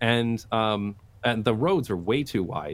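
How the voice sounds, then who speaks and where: A man is speaking. He sits at a medium pitch. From Canada. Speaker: YouTuber on urban design. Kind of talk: casual interview conversation.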